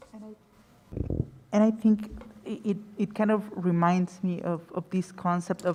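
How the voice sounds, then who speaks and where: A woman with a Spanish accent speaks at a moderate pace. Her pitch is medium and her intonation fairly even. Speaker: panelist, academic. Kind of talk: panel discussion. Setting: gallery with audience. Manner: halting, many repetitions.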